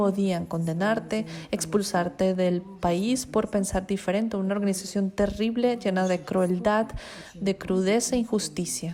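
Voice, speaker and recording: A woman speaks at a fairly slow pace in a medium pitch with fairly even intonation. Noticeable background noise can be heard. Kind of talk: interview answer.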